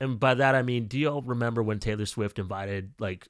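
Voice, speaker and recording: Bright, sharp tone from a man at medium pitch, moderate pace and ordinary pitch variation, in a dry, close sound with no echo and a very clean recording with a silent background. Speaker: book reviewer. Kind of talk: casual vlog monologue.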